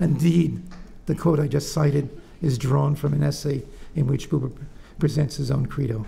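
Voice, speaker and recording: Audible room echo surrounds a man with a fairly high pitch. He keeps a fairly even intonation and leaves long, frequent pauses. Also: moderate pace. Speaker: professor. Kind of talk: lecture. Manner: soft-spoken; halting.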